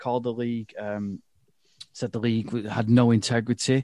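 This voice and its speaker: With an English accent, the speaker sounds dry and close with no echo against a quiet background. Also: man. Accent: regional English accent (drops h). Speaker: football podcast host. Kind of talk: casual chat.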